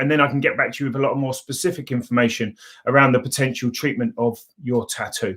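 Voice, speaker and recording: A man's medium-pitched voice at a very fast pace, with fairly even intonation. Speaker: laser tattoo removal clinic owner. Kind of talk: live Q&A livestream. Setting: live video stream. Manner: hesitant, many fillers.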